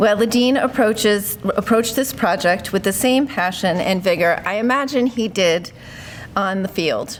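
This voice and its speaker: With noticeable background noise, the voice moves at a fairly slow pace with very even loudness and ordinary pitch variation. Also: woman. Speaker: university administrator. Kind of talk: ceremony speech. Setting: podium with microphone, live audience.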